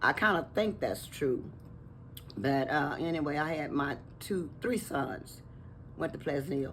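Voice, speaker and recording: A woman with very deep, low pitch and lively intonation, a fairly slow pace with long, frequent pauses, and audible room echo. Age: 80s+. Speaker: longtime resident. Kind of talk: interview.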